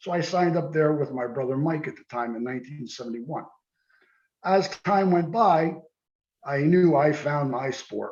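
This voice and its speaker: In a plain, everyday voice, a man speaks at a moderate pace and fairly high pitch, with ordinary pitch variation and big swings in loudness. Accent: American. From New Jersey, US. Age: 60s. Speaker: karate teacher and former police lieutenant. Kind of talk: interview.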